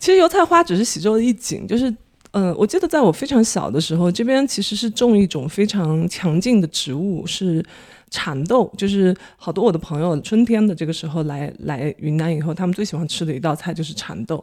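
Speaking fairly quickly with lively intonation, a woman has a plain, everyday voice at a medium pitch. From Dali, Yunnan (Xizhou). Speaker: market researcher, former journalist. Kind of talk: casual chat. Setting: at home.

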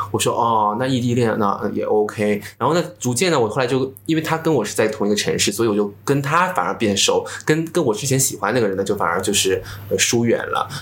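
Speaking fairly quickly, a man at medium pitch uses lively intonation. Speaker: social media influencer. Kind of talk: casual chat.

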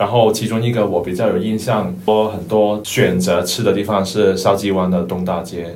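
In a Cantonese accent, a man speaks at a moderate pace with ordinary pitch variation and hardly any pauses. Audible room echo surrounds the voice. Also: fairly low pitch for a man. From Hong Kong. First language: Cantonese (speaking Chinese). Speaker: office worker. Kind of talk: casual chat.

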